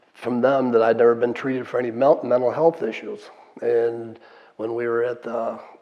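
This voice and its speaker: The delivery is monotone, with flat intonation, at a moderate pace. Noticeable background noise sits behind the voice. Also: man, medium pitch for a man. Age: 70s. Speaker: war veteran. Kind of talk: testimony. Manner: casual, conversational.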